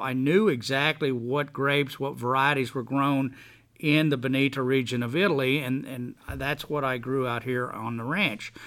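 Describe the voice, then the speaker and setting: A man with an American accent at a medium pitch, a fairly slow pace and ordinary pitch variation. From Texas (from age five), early years in Boston. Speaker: winery owner. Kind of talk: interview. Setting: on location at the vineyard. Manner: repetitive, halting restarts.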